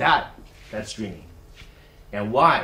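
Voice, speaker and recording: A man speaks in a Californian accent. Audible room echo surrounds his voice. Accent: Californian American English. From US West Coast, Silicon Valley. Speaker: university executive, guest speaker. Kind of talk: talk to students. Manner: halting, many fillers.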